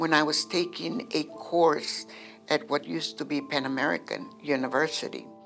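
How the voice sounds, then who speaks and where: Very deep, low female voice at a moderate pace with music in the background. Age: 70s. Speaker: poet and creative writing student. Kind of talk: interview answer.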